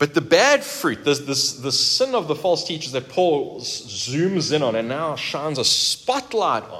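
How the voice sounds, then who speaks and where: A man's very slow speech with very wide pitch swings. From South Africa. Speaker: pastor. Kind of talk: sermon.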